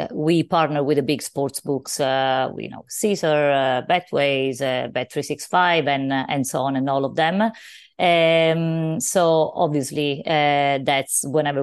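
A woman with a very deep, low pitch speaks in a Sicilian accent at a fairly slow pace. Her intonation is fairly even, and the background is quiet. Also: hardly any pauses. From Sicily, Italy. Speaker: business founder. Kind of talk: interview.

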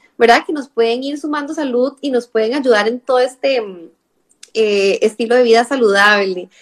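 A woman with a Costa Rican accent speaks at a moderate pace in a high pitch, her intonation fairly even. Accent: Costa Rican, noticeable on the R sounds. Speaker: nutritionist. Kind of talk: live-stream interview. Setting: online live stream.

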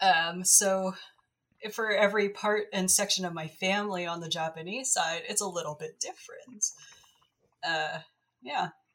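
A woman of medium pitch speaks at a moderate pace with ordinary pitch variation and long, frequent pauses. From Canada. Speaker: archaeologist. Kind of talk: casual chat.

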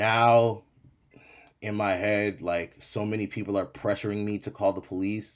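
A man speaks fairly slowly at a fairly low pitch, monotone and flat. The recording is very clean with a silent background. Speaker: rapper, battle rapper and DJ. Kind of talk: casual interview chat.

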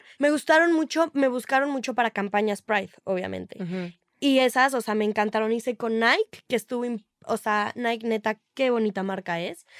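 A normal speaking voice at a moderate pace with ordinary pitch variation comes through a dry, close sound with no echo and a very clean recording, silent background. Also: woman, fairly high pitch for a woman. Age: young. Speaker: social media influencer. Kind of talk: casual chat.

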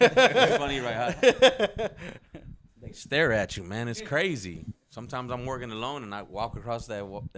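This man has an American accent and an ordinary speaking voice at medium pitch, talking at a moderate pace with lively intonation and big swings in loudness. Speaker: podcast guest, shop owner. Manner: confident, relaxed.

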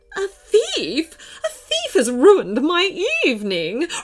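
A woman's high-pitched put-on character voice, slow-paced with very wide pitch swings, faint music in the background

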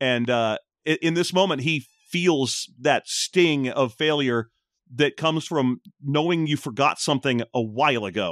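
This very clean recording has a silent background and a dry, close sound with no echo. A man speaks in an ordinary speaking voice, fairly high-pitched for a man, at a fairly slow pace. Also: ordinary pitch variation. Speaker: tabletop game player. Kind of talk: tabletop roleplaying game session.

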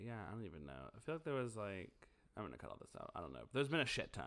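Swinging very widely in pitch around a medium level, a man talks at a very fast pace with vocal fry. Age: 30s. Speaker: podcast co-host. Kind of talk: casual chat.

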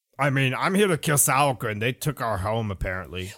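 Someone performs a put-on character voice at a fairly quick pace. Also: man, medium pitch for a man. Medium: actual play. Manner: cocky, eager, casual; boastful, impatient.

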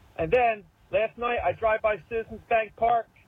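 A man in a Philadelphia accent speaks with a high pitch. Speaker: caller. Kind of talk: recorded voicemail call-in. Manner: animated.

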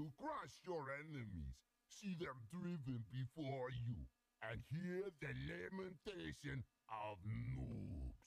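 Doing a put-on character voice with an Austrian accent, a man speaks slowly at a medium pitch, with lively intonation and vocal fry. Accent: imitation Austrian.

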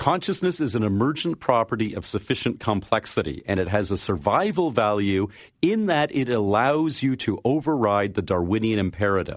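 With a Canadian accent, a man at a medium pitch talks at a moderate pace with hardly any pauses and very wide pitch swings, over a quiet background. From Canada. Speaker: science fiction writer. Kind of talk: interview.

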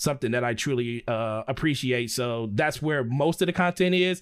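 Speaking with an American accent, a man uses an ordinary speaking voice at medium pitch and a fairly quick pace. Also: very clean recording, silent background. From US Midwest. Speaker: gaming content creator. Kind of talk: casual chat.

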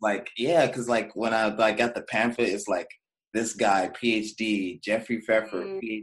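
A man speaks at a fairly slow pace in a plain, everyday voice with a medium pitch. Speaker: podcast host. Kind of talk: casual interview chat.

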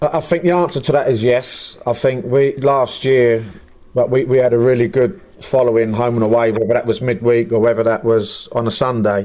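A man with an English accent, a dark, mellow tone, very even loudness and a fairly quick pace. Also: medium pitch for a man, ordinary pitch variation. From England. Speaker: football manager. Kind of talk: casual chat.

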